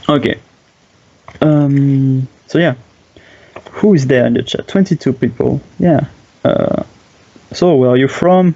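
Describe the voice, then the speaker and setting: Over noticeable background noise, a man with a French accent talks at a fairly slow pace in a fairly high voice with ordinary pitch variation and long, frequent pauses. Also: very even loudness. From France. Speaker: game streamer and commentator. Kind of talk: live game commentary. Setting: live stream. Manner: halting, many fillers.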